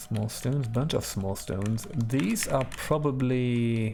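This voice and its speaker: Music plays in the background as a man talks at a very slow pace, with audible room echo. His pitch is medium, with ordinary variation. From Germany. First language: German. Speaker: video game streamer. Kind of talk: gameplay commentary. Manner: relaxed, chill.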